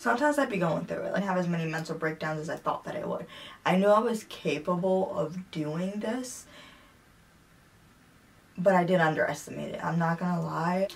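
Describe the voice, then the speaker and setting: A fairly quick woman's voice, fairly low in pitch, with ordinary pitch variation. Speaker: fitness vlogger. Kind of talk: casual vlog chat. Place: home room.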